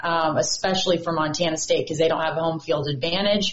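This woman has an ordinary speaking voice, pitched fairly low for a woman. Her pitch varies an ordinary amount. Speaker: TV sports reporter. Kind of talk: casual chat.

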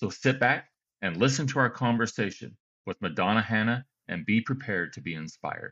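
Using an ordinary speaking voice, a man talks at a fairly quick pace, medium in pitch, with lively intonation. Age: 50s. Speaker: podcast host. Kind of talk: scripted intro; interview.

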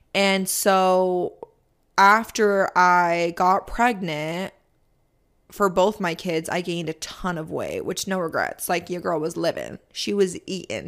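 In a plain, everyday voice, a woman speaks at a fairly slow pace with fairly even intonation on a very clean recording with a silent background. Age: 20s. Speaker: podcast host and social media creator, former ICU nurse. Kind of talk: casual solo Q&A. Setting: studio.

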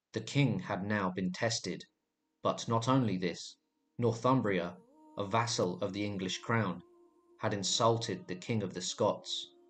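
Music plays in the background as a man speaks in a solemn tone at a fairly slow pace. His pitch is fairly low, with ordinary variation. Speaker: history video narrator. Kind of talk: scripted true-crime style history narration, grave and dramatic storytelling. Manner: measured, steady, solemn pacing with ominous emphasis; formal, polished storyteller delivery.

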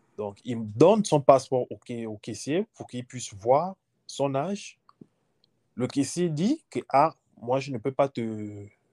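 Speaking very slowly, a man with a medium pitch and a dark, mellow tone swings widely in loudness, recorded very cleanly and dry and close, with a silent background and no echo. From Gabon. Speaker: former international student. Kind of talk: interview.

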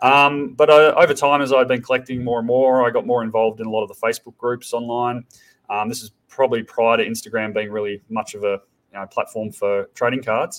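A man with an Australian accent talks at a fairly quick pace, his intonation fairly even but his loudness swinging widely. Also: medium pitch for a man. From Tasmania, Australia. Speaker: startup founder. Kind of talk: podcast interview.

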